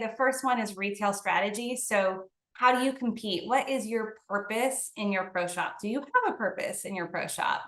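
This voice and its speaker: A normal speaking voice from a woman, fairly high in pitch, with ordinary pitch variation and a moderate pace. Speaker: company CEO presenting to gym owners. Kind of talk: webinar presentation. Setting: online webinar.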